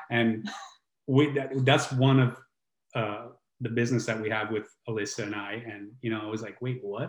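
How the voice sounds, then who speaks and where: A man with an Italian accent speaks at a medium pitch and a moderate pace. His intonation is fairly even, broken by long, frequent pauses. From southern Italy (Brindisi, Puglia). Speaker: healing coach and musician. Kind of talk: casual chat.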